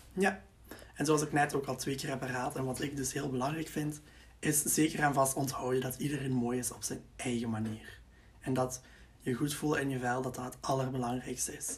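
At a medium pitch, a man speaks in a somewhat breathy voice. His pace is moderate and his intonation fairly even. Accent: Flemish. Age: 20s. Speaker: student teacher, podcast co-host. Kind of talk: casual advice chat.

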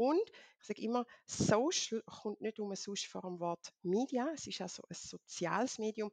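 A woman with an ordinary speaking voice talks at a fairly high pitch with lively intonation, the sound dry and close with no echo against a quiet background. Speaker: LinkedIn consultant. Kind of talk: interview.

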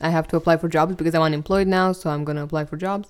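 A woman speaks with a Romanian accent. Her pitch is fairly low. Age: 20s. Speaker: podcast host. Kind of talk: casual chat. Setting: studio.

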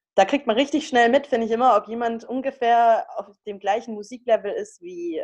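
Against a quiet background, a plain, everyday voice speaks at a moderate pace. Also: woman. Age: 20s. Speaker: student podcast co-host. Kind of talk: casual chat.

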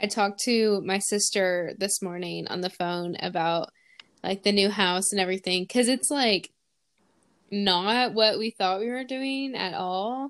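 A woman at medium pitch with a normal speaking voice, fairly slow pace and ordinary pitch variation, against a quiet background. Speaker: podcast host. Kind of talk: casual chat.

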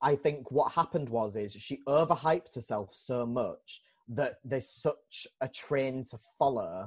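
A somewhat breathy voice with lively intonation, in a Yorkshire accent. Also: man. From Leeds, England. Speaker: podcast co-host and drag performer. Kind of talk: casual chat.

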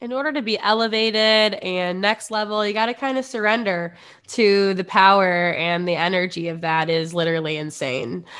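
Delivered with a Midwestern American accent, the speech moves at a moderate pace with hardly any pauses and lively intonation. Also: woman, medium pitch for a woman. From US Midwest. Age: 20s. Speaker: podcast host. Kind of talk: casual chat. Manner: animated.

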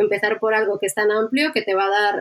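With a plain, everyday voice, a woman talks at a moderate pace in a medium pitch with fairly even intonation. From Basque Country, Spain (Bilbao). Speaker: user researcher. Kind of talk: interview.

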